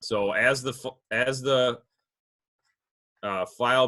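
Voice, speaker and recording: Bright, sharp tone marks this man's voice. His intonation is fairly even. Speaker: fisheries biologist presenting on video editing. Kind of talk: webinar tutorial. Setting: online webinar.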